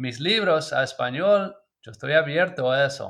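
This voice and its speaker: Against a quiet background, a man with an English accent talks at a fairly slow pace with lively intonation. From US, Maryland. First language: English (speaking Spanish). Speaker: permaculture designer and author. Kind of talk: interview. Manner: halting, with fillers.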